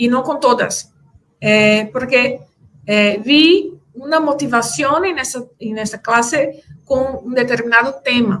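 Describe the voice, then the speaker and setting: Very slowly, a woman with a Brazilian accent speaks at a high pitch with ordinary pitch variation. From Brazil, Recife, Pernambuco. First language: Portuguese (speaking Spanish). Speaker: conference speaker, teacher. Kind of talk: conference Q&A answer. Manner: halting, many fillers and repetitions.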